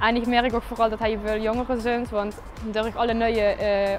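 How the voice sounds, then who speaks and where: Clear music sits behind a woman with a fairly high pitch. She keeps a moderate pace and a monotone, flat intonation. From Kerkrade, Netherlands. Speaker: TikTok creator; stadium steward. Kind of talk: casual talk to camera. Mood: cheerful, relaxed. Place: street. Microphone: lapel.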